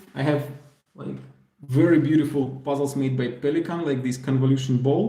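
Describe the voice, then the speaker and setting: In a Russian accent, a man talks in a fairly high, somewhat breathy voice with a dark, mellow tone, fairly even intonation and audible room echo. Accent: Russian, moderate. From Belarus. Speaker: puzzle YouTuber. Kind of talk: live stream Q&A. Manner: hesitant, many fillers.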